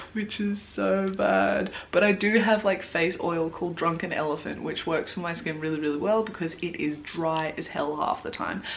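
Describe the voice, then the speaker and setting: With an Australian accent, a woman speaks with hardly any pauses at a fairly low pitch and ordinary pitch variation. Noticeable background noise is present. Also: moderate pace. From Australia, Blue Mountains, New South Wales. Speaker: beauty vlogger. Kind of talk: casual chat. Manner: animated.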